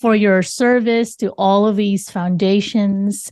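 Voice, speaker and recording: Very slow speech with a Filipino accent, a dark, mellow tone and fairly even intonation against a quiet background. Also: woman. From Philippines. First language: Tagalog. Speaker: podcast host. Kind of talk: interview.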